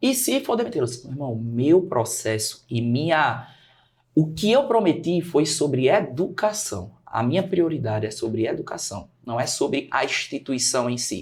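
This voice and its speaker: Somewhat breathy man, fairly high in pitch, with very wide pitch swings. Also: moderate pace. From Brazil, Natal (Rio Grande do Norte). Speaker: teacher and study mentor. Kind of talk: podcast interview.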